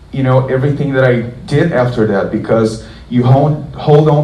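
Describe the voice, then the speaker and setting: With a Portuguese accent, a man speaks at a moderate pace. Audible room echo and noticeable background noise fill the recording. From southern Brazil. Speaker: guitarist. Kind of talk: guitar clinic Q&A talk. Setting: concert hall with audience. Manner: casual, many fillers.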